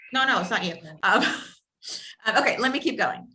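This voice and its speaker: A woman's high voice moves through very wide pitch swings. Room echo is audible. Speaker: real estate coach. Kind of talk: training session. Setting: video call. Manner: fast.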